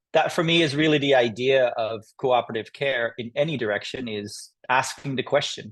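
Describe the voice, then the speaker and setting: Fairly even intonation from a medium-pitched male voice at a moderate pace. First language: not English. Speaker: animal trainer. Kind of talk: panel discussion. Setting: video call.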